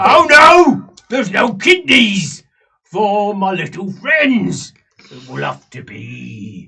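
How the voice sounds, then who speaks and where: A man's put-on character voice, high in pitch and very slow in pace. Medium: actual play. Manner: crude, simple-minded, gloating.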